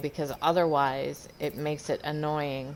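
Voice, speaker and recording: A woman with a Southern US accent speaks very slowly in a very deep, low voice. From US South. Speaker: gaming YouTuber. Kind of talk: game tutorial. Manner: casual, many fillers.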